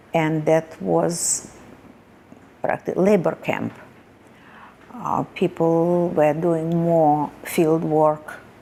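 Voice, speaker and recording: A woman with a fairly low pitch and fairly even intonation talks at a very slow pace, leaving long, frequent pauses. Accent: strong Russian. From Russia. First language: Russian. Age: 70s. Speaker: Holocaust survivor. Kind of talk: testimony. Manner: halting.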